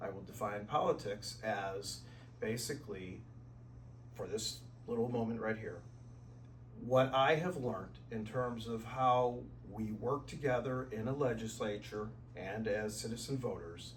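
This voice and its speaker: A man with an American accent at a fairly slow pace, long, frequent pauses, audible room echo and noticeable background noise. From US Midwest, South St. Louis, Missouri. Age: 60s. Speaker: speaker at retreat. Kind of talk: talk to a group. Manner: conversational.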